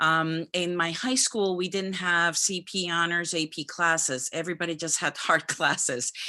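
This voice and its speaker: A woman with a Spanish accent, fairly low in pitch, bright and sharp in tone, at a moderate pace against a quiet background. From Dominican Republic. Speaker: physician. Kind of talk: career talk to students.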